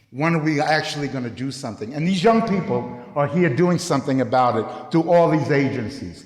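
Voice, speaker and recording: A man with an American accent, fairly high pitch and ordinary pitch variation, at a fairly quick pace, amid audible room echo and noticeable background noise. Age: 60s. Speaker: youth program director. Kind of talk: public speech.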